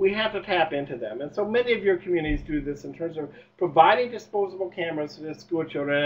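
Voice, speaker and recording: Over noticeable background noise, a man with a high pitch speaks at a very fast pace in an animated tone. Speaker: university extension presenter. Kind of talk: webinar presentation. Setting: webinar.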